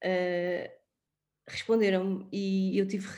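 Pitched medium, a woman's voice has a dark, mellow tone. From Portugal, Sintra. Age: 30s. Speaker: widow and former wedding planner. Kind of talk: interview. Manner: halting.

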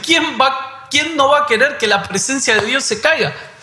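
A man's raised, projected voice sits at an extremely high pitch, with audible room echo and noticeable background noise. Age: 30s. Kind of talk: devotional conversation.

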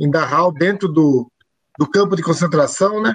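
This man's voice sits high, with ordinary pitch variation. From Brazil. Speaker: show host and musician. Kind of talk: casual chat. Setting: live stream video call.

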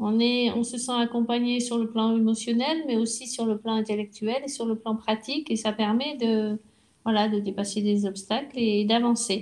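A plain, everyday voice from a woman, fairly high-pitched and moderately paced. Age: 60s. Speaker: retired restaurant worker. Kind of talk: interview. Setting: at her home.

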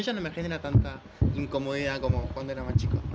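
Noticeable background noise and audible room echo surround the speech. The woman talks very fast. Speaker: podcast co-host. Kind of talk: casual chat.

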